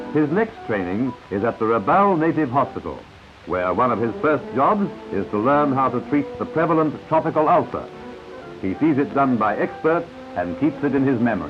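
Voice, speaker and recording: Music plays behind a man talking at a moderate pace. His fairly high pitch swings very widely. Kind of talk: newsreel narration.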